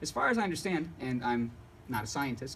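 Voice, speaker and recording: A somewhat breathy man at a fairly quick pace, with lively intonation. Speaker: painter and art teacher. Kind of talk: talk to an audience. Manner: fast; jittery.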